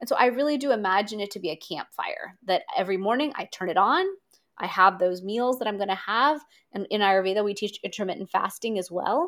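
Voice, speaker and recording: A woman with an unremarkable speaking voice talks at a medium pitch, her pitch varying in an ordinary way. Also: fairly quick pace. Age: 40s. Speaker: Ayurvedic practitioner. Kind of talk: interview.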